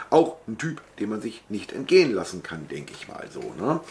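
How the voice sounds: The man here speaks at a fairly quick pace.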